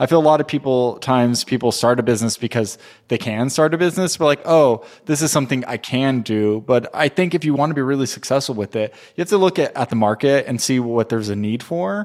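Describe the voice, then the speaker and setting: A man's medium-pitched voice with an American accent, at a very fast pace. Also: ordinary pitch variation. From Southern California. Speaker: candle company co-founder. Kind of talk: interview conversation.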